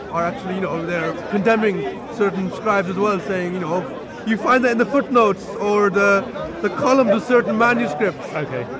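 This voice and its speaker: With crowd noise behind him, a man talks at a moderate pace with ordinary pitch variation in a dry sound with no echo. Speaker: interviewee. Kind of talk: interview answer. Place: open country.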